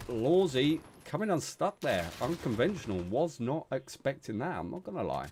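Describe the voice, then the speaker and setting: Moderate pace with a British accent. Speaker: esports caster. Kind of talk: live commentary. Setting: live stream. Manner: loud.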